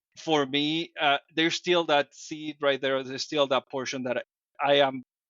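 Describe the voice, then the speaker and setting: In a Dominican accent, a man talks at a fairly high pitch with monotone, flat intonation. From Dominican Republic. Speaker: podcast guest, fitness group leader. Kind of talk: interview conversation. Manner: hesitant, with fillers and restarts.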